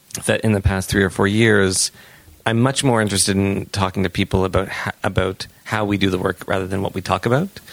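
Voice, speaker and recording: At a fairly quick pace, a man speaks in a normal speaking voice with a fairly low pitch. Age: 40s. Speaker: sex educator and author. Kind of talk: casual chat.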